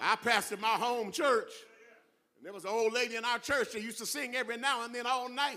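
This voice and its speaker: A man with an American accent uses a raised, projected voice at an extremely high pitch, a fairly quick pace and fairly even intonation. Long, frequent pauses and big swings in loudness break up his speech. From California. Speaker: guest preacher. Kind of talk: sermon. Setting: church.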